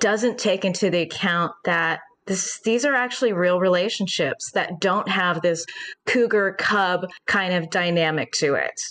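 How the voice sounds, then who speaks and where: This woman has an unremarkable speaking voice, medium in pitch, with ordinary pitch variation, a fairly slow pace and very even loudness. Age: 40s. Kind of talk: interview.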